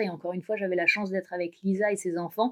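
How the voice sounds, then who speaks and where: Monotone, flat intonation runs through a woman's medium-pitched voice. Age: 30s. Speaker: dog travel adventurer. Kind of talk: interview, personal travel story.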